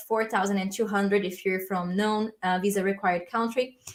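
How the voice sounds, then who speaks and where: With a Brazilian accent, the speaker keeps a moderate pace and fairly even intonation. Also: woman. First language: Portuguese. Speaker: language learning youtuber. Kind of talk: livestream Q&A. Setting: live stream. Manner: casual, filler-heavy.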